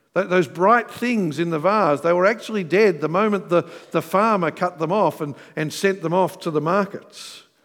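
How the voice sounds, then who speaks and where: A high-pitched man's voice with an Australian accent, a moderate pace, and ordinary pitch variation. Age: 40s. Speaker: pastor. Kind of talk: sermon. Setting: church.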